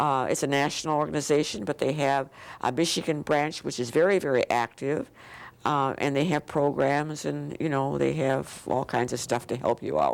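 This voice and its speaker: Vocal fry runs through this moderately paced voice, which keeps very even loudness and fairly even intonation. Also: woman, very deep, low pitch for a woman. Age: 80s+. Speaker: children's book author. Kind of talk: interview. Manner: halting.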